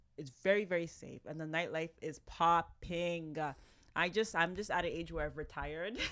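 In a very clean recording with a silent background, a woman with a fairly low pitch speaks at a moderate pace, her loudness swinging widely. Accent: Toronto. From Toronto, Canada, of Ghanaian family. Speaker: business owner. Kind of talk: casual chat.

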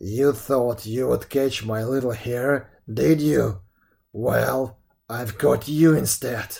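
A man puts on a character voice at a medium pitch. He speaks very slowly. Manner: savage.

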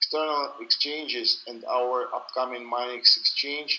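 A man with a strong Russian accent speaks at a very slow pace. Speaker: crypto company founder and CEO. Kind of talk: interview. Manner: halting, slow.

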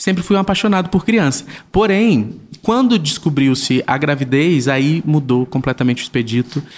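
Speaking at a moderate pace, a man with a plain, everyday voice has a fairly high pitch. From Brazilian Northeast (Paraíba), raised in southern Brazil. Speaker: digital influencer and father. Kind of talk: casual interview.

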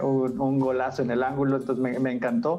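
A man's voice at a medium pitch. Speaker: podcast host. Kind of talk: interview. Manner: halting, many fillers.

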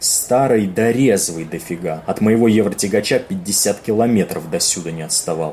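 The gruff, put-on character voice moves along at a moderate pace. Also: man. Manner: gruff, brusque, swearing, jittery.

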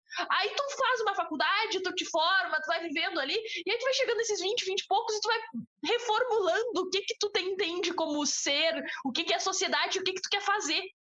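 A woman talks at a fairly quick pace in a southern Brazilian accent. Her raised, projected voice sits at an extremely high pitch. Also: ordinary pitch variation. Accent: gaúcho Brazilian Portuguese. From southern Brazil, Bagé (Rio Grande do Sul). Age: 20s. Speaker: podcast co-host. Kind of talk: casual chat.

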